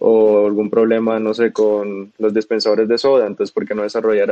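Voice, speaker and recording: A man speaks at a fairly low pitch. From Colombia, Bogotá. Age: 20s. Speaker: startup co-founder. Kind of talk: interview.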